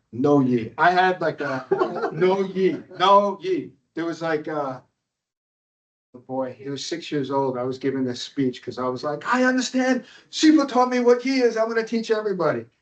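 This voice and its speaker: Very wide pitch swings mark this moderately paced speech in a New York accent. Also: man, high pitch for a man. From upstate New York. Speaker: kung fu teacher. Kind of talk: workshop talk. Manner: casual, conversational.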